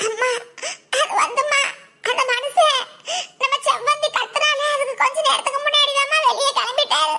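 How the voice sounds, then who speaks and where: A woman puts on a cartoonish character voice at an extremely high pitch, speaking at a fairly slow pace with fairly even intonation. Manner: hesitant, stammering.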